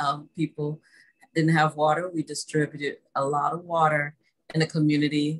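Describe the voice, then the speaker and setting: A woman's very deep, low voice comes through with little noise around it. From Texas, Dallas (Oak Cliff). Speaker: artist. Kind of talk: casual chat. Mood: warm, friendly. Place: home room.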